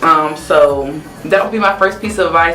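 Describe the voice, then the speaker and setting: Someone with an American accent speaks at a moderate pace amid noticeable background noise. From US South. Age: 20s. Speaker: young business owner and consultant. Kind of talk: interview.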